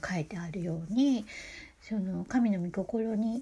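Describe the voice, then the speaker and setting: With ordinary pitch variation, a woman speaks in a dark, mellow, somewhat breathy tone. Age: 50s. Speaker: podcaster. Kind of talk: religious monologue. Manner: halting.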